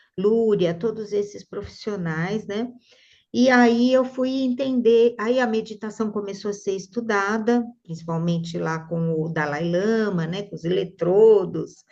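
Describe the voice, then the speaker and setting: Dark, mellow tone with ordinary pitch variation. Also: woman, medium pitch for a woman, fairly slow pace. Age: 60s. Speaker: neuropsychologist and art therapy teacher. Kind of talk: interview conversation. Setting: video call.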